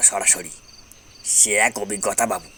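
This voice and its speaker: A man performs in a put-on character voice. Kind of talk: ghost story acting. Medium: read story. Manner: rustic, folksy, addresses listener as babu.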